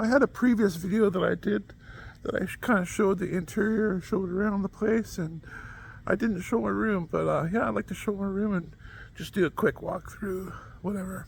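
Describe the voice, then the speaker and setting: A man speaks quietly at a moderate pace. His pitch is high. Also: ordinary pitch variation. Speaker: camp kitchen worker. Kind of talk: casual talk to camera.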